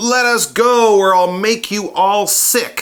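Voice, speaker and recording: A put-on character voice, fairly high in pitch and fairly slow. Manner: threatening, squawky.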